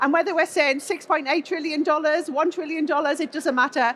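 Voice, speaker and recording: A woman's high-pitched voice. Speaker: industry expert presenter. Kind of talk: conference talk.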